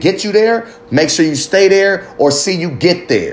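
Over noticeable background noise, a man talks in an animated tone. His pitch is high and his intonation lively. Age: 30s. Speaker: podcast host. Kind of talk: casual rant. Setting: early morning solo recording. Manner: raw, unfiltered, animated.

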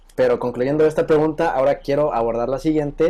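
The speaker is a man. He talks with a Mexican accent. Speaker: podcast host. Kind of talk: casual chat.

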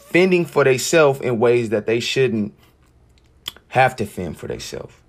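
A man's animated voice with lively intonation. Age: 20s. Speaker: podcast host. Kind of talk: casual monologue.

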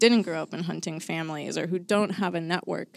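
Recorded very cleanly against a silent background, a woman with a plain, everyday voice and an American accent speaks at a fairly low pitch with fairly even intonation. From suburban Chicago. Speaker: state wildlife agency coordinator. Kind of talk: casual chat. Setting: studio.

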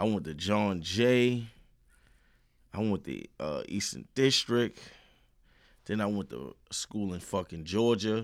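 On a very clean recording with a silent background, a man with a New York accent speaks very slowly at a fairly low pitch, with lively intonation and long, frequent pauses. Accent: New York City. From Brooklyn, New York (also Queens). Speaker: rapper. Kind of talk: casual chat.

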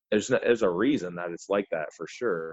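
A man with a very deep, low voice speaks at a fairly quick pace with a Midwestern accent. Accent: general Midwestern American. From US Midwest. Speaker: podcast host and coach. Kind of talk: casual chat.

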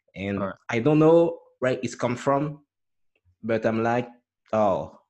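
Speaking in a French accent, a man talks at a fairly slow pace with ordinary pitch variation. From France. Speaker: musician and podcaster. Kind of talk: casual interview chat. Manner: halting, repeats words.

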